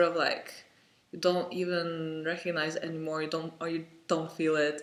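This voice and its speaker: A high-pitched man with a non-native accent, monotone, flat intonation and a fairly slow pace, in audible room echo. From Lithuania. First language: Lithuanian. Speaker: vlogger. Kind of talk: personal vlog monologue. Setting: home, parent in next room. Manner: halting, many fillers.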